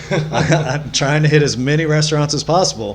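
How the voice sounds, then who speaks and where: With an American accent, a man talks while music plays behind him. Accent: rural small-town. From US Midwest, rural southeast Missouri. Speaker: podcast guest. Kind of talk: casual chat.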